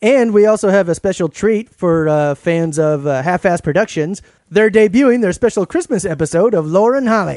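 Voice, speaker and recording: In a dry, close recording with no echo, a high-pitched man speaks with lively intonation, very even loudness and hardly any pauses. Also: moderate pace. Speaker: podcast co-host. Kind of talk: casual chat. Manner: halting.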